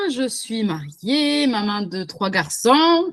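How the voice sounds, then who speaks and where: Speaking with a southwestern French accent, a woman makes very wide pitch swings. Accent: southwestern French, sing-song. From southwestern France. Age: 30s. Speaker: virtual assistant, entrepreneur. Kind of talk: interview. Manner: many fillers (euh).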